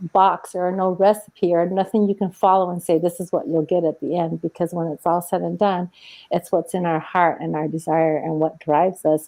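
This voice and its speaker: A soft-spoken woman talks at a moderate pace. Her voice is fairly low, with fairly even intonation. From Mexico. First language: Spanish. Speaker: entrepreneur and author. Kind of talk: interview.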